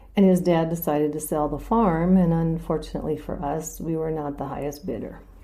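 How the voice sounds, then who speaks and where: There is audible room echo around this woman. She speaks at a moderate pace in a very deep, low voice. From North Dakota. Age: 60s. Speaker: local resident telling her story. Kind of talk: personal storytelling interview.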